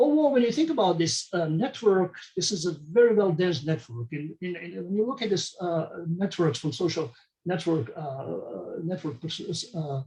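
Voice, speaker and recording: A man with a high-pitched voice speaks at a moderate pace using lively intonation. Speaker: medical researcher. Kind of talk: conference talk. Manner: halting.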